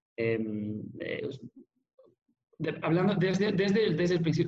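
Pitched high, a man's voice makes very wide pitch swings. He talks at a very slow pace amid audible room echo. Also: long, frequent pauses, very even loudness. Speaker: restaurant project director. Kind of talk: interview. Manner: halting, many repetitions and fillers.

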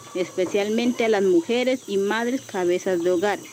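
Noticeable background noise sits behind this woman's voice. She talks at a fairly slow pace with lively intonation. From Colombian Amazon, Leticia. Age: young. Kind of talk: scripted promotional presentation.

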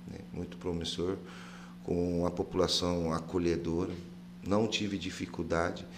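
In a very deep, low voice, a man speaks at a fairly slow pace with fairly even intonation and long, frequent pauses, and room echo can be heard. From Mato Grosso do Sul, Brazil (Campo Grande, Pantanal). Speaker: Muay Thai coach. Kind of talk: casual chat.

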